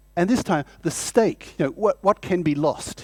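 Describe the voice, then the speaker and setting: The sound is dry and close with no echo. It is a very clean recording with a silent background. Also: man. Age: 60s. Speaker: professor. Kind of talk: lecture. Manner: animated.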